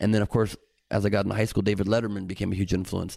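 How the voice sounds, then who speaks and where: Recorded very cleanly against a silent background, a man with a Californian accent speaks at a fairly low pitch. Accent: General American, Californian. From Los Angeles. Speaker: comedian and voice actor. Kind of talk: casual interview chat.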